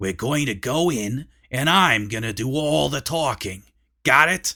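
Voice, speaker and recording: A raspy, put-on character voice from a man at medium pitch and moderate pace, on a very clean recording with a silent background. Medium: read story. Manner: brash, bossy.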